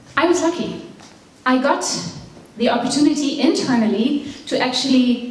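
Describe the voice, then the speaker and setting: Audible room echo and noticeable background noise fill the clip. Through them, a woman speaks at a moderate pace. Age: 40s. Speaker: business coach. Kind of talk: motivational talk.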